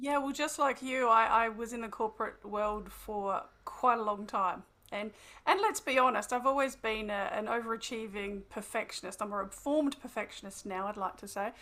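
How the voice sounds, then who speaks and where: Her voice is fairly high-pitched for a woman, with a bright, sharp tone. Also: ordinary pitch variation, very clean recording, silent background. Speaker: wellbeing coach and therapist. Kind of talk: podcast interview. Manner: fast; animated.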